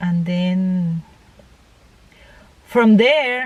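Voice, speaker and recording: A woman with a Panamanian accent at a very slow pace. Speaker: interviewee, mother of the vlogger. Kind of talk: casual interview. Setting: at home. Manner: halting.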